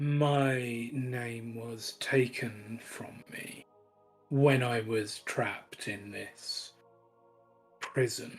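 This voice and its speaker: Someone uses a put-on character voice at a very slow pace. Faint music sits in the background. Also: man, medium pitch for a man. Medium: actual play. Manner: smooth, measured, persuasive.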